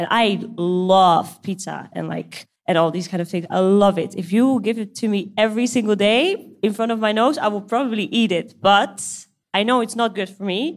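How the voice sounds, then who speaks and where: Her pitch varying in an ordinary way, a woman with a Dutch accent talks at a moderate pace in a very clean recording with a silent background. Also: medium pitch for a woman. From Netherlands, Amsterdam. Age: 20s. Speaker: CrossFit coach. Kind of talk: live Q&A panel. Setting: stage with audience.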